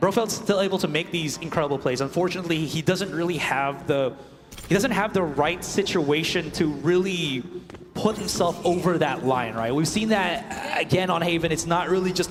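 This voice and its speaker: There is noticeable background noise as a man speaks at a high pitch. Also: ordinary pitch variation, moderate pace. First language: not English. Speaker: esports caster. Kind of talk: live commentary. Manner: animated.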